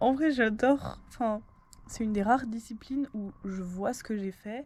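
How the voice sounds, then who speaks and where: A woman's fairly high voice shows ordinary pitch variation and big swings in loudness. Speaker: vlogger. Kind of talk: casual vlog talk to camera. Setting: at home at night. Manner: casual, filler-heavy.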